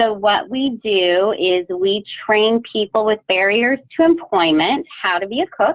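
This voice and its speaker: The speech moves at a fairly slow pace with lively intonation and hardly any pauses. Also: woman, fairly high pitch for a woman. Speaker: culinary training program staff. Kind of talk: webinar presentation. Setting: video call.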